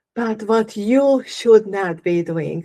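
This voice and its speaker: A woman with a non-native accent speaks at a very slow pace. Her fairly high voice has a dark, mellow tone and ordinary pitch variation. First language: not English. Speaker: holistic living coach. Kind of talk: live workshop talk. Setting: livestream.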